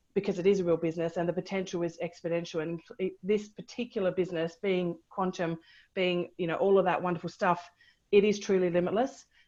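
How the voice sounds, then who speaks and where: Against a quiet background, a woman with a medium-pitched voice talks at a very fast pace. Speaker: abundance coach and energy healer. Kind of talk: interview on a video call. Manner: fast when excited.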